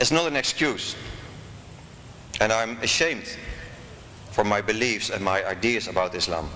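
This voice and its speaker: Amid audible room echo and noticeable background noise, a man with a medium pitch and lively intonation talks at a moderate pace, broken by long, frequent pauses. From Netherlands. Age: 40s. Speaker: convert speaker. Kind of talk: lecture. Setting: stage with audience. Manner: formal.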